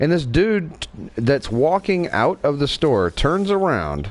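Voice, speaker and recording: A man's voice with a slight Southern accent and very wide pitch swings, over noticeable background noise. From Wyoming. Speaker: gaming livestreamer. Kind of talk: casual chat.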